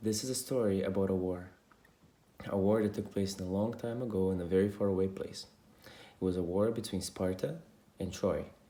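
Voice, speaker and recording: Speaking at a moderate pace with a non-native accent, a man has a dark, mellow tone, fairly low pitch and fairly even intonation. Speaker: storyteller. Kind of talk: storytelling. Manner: informal, with some hesitations.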